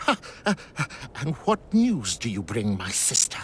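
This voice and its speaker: Over clear background noise, a man does a put-on character voice at a fairly high pitch, swinging very widely in pitch at a moderate pace. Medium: video game. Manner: giggly, evasive.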